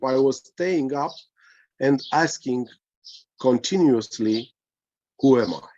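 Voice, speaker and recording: A man speaks at a very slow pace. His pitch sits in the middle range. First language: Romanian. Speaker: spiritual teacher. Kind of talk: casual chat. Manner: halting.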